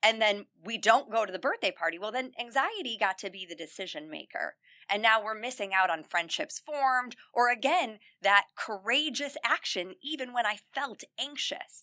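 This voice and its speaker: Loud and fairly high-pitched, a woman talks at a moderate pace with lively intonation and a bright, sharp tone, the sound dry and close with no echo. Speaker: self-confidence coach for teen girls. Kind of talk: podcast interview. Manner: loud and smiley by her own account.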